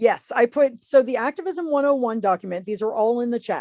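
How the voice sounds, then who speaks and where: In a dry, close recording with no echo and a quiet background, a woman with a dark, mellow tone speaks at a fairly high pitch, fairly quickly, with lively intonation. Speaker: political activist and newsletter author. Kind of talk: webinar presentation. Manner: fast.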